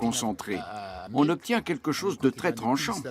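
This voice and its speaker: Very wide pitch swings run through speech at a moderate pace. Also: man. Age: 80s+. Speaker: rastafari elder. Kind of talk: documentary interview testimony.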